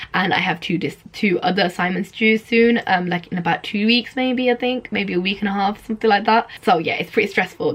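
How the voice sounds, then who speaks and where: Amid noticeable background noise, a woman with a British accent talks at a fairly quick pace with hardly any pauses, at a medium pitch with ordinary variation. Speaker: student vlogger. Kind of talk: casual vlog to camera.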